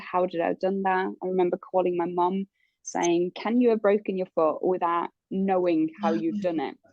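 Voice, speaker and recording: Her pace moderate, a woman speaks in a medium pitch. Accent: slight Norwegian. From Norway. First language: Norwegian. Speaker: interviewee sharing life story. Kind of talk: interview. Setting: in hospital. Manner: hesitant, many fillers.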